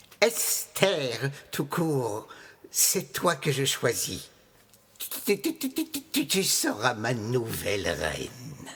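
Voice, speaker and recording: Using a put-on character voice, a man talks at a very slow pace and a medium pitch. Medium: stage play. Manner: stammering, repetitive.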